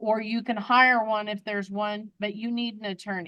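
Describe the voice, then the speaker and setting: A woman speaks at a moderate pace with a fairly high pitch. She has a plain, everyday voice and fairly even intonation. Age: 60s. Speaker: judge. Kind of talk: court hearing.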